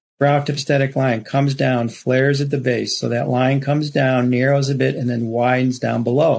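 A man's medium-pitched voice, monotone and flat, at a moderate pace with hardly any pauses and very even loudness. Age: 60s. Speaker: rhinoplasty surgeon. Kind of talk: expert interview with slide presentation.

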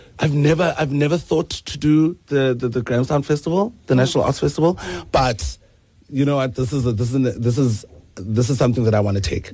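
The tone is dark and mellow, somewhat breathy. The pace is fairly quick. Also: man, medium pitch for a man, ordinary pitch variation. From South Africa, Eastern Cape. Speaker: singer-songwriter. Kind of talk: radio interview. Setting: radio studio.

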